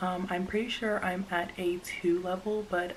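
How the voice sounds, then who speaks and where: Over noticeable background noise, the speaker keeps a monotone, flat intonation at a moderate pace. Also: woman. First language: Spanish. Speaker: vlogger. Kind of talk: casual chat. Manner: hesitant, many fillers.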